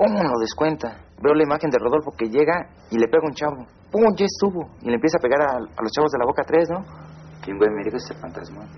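A man's very fast speech at a fairly high pitch, with vocal fry and light background noise. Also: lively intonation. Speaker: former student gang member. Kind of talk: personal testimony.

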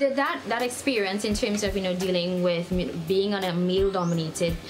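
Music plays in the background. Over it, a woman talks very fast at a medium pitch. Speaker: interviewer, host.

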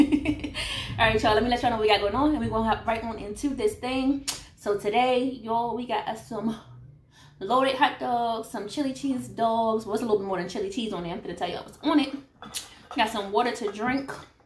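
A woman at a fairly quick pace, with big swings in loudness and audible room echo. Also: ordinary pitch variation. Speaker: eating vlogger. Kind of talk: casual vlog chat. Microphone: phone near.

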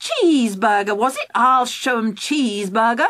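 In a put-on character voice, a female-sounding speaker talks at a moderate pace in a fairly high pitch. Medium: read story. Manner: brisk, indignant then gleeful.

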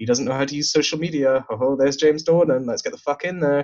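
A man with a Glaswegian accent talks at a very fast pace and a fairly high pitch. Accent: Glaswegian Scottish. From Glasgow, south side. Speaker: poet and student. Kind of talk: casual chat.

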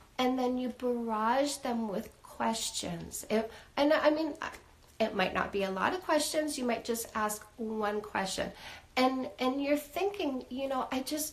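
The woman's voice is high-pitched. She speaks at a fairly slow pace. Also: lively intonation. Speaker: dating coach. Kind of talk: live stream advice talk. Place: home room.

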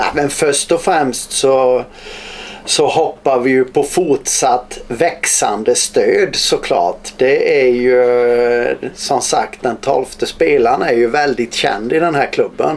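Very slowly, a man speaks with a Småland accent. His loudness stays very even. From Småland, Sweden. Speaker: bandy coach. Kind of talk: interview answer. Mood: cheerful, smiling. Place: office.

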